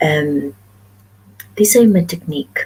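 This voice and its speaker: A soft-spoken woman at a moderate pace. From Philippines, Western Visayas (Ilonggo). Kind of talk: casual live stream talk to camera.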